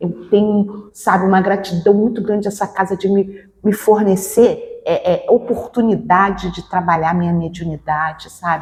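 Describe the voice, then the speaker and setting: A somewhat breathy woman at medium pitch, fairly slow, with fairly even intonation. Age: 60s. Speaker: spiritist medium. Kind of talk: interview. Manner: halting.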